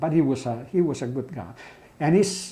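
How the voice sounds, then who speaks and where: In an Italian accent, a man with a fairly high pitch talks at a moderate pace, his intonation lively. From Italy. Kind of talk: interview answer.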